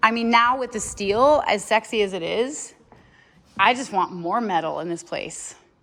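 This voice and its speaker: A woman with an ordinary speaking voice talks at a moderate pace. Her fairly high pitch shows ordinary variation. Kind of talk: casual conversation.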